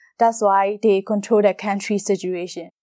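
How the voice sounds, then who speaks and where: A woman at a moderate pace in a Burmese accent, dark and mellow in tone, with a dry, close sound with no echo and a very clean recording, silent background. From Myanmar. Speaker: model and actress. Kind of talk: interview testimony. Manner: halting.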